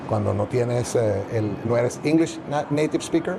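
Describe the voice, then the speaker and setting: Noticeable background noise runs behind the recording. A man speaks at a moderate pace. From Venezuela. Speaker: journalist and media business owner. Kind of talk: interview. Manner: hesitant, many fillers.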